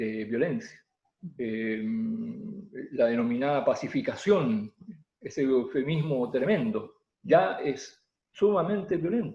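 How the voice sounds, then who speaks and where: A man speaks at a very slow pace. His pitch makes very wide swings. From southern Chile, Mapuche community near Temuco. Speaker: Mapuche poet and oral storyteller. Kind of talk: interview answer. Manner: hesitant, with many fillers.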